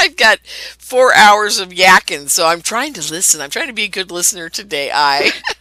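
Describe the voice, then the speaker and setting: Over noticeable background noise, a woman talks at a medium pitch and a moderate pace. Her intonation is lively, and the sound is dry and close with no echo. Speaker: radio show host. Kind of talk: casual interview chat.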